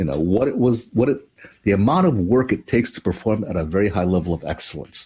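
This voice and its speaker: Somewhat breathy and very fast, a man with a fairly low pitch speaks in a dark, mellow tone with lively intonation. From Hawaii. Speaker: storyteller. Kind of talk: interview conversation. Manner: conversational with many fillers.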